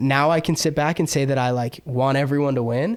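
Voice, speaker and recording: At a moderate pace, a man talks with a fairly high pitch and fairly even intonation. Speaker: clothing designer and brand founder. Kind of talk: casual podcast conversation. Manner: loud; halting, filler-heavy.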